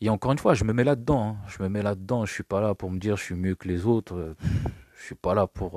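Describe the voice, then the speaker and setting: The sound is dry and close, with no echo. The pitch varies in an ordinary way. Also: man. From France, Paris region. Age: 40s. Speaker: podcast host. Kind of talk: solo monologue podcast. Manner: halting.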